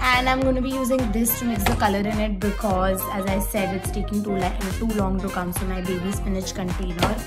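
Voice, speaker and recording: A woman speaks at a fairly quick pace. Loud music plays in the background. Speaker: vlogger. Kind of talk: casual vlog chat. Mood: playful, nervous. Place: home room. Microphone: phone near.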